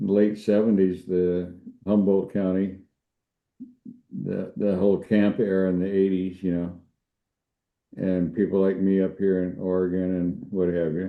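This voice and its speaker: Fairly slow speech with monotone, flat intonation and long, frequent pauses. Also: man, very deep, low pitch for a man. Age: 70s. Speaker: cannabis show host. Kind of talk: casual chat.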